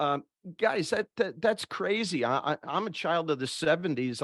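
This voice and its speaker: With an American accent and a normal speaking voice, a man talks at a moderate pace with lively intonation against a quiet background, the sound dry and close with no echo. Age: 60s. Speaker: HVAC industry expert. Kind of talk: panel discussion.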